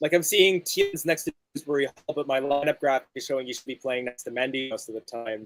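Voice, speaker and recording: Delivered at a very fast pace with hardly any pauses, the speech has a Canadian accent, ordinary pitch variation and a dry, close sound with no echo. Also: man, fairly high pitch for a man. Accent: Canadian North American accent, rhotic. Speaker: football fan watchalong co-host. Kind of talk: casual chat with live match commentary. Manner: speaks quickly at times.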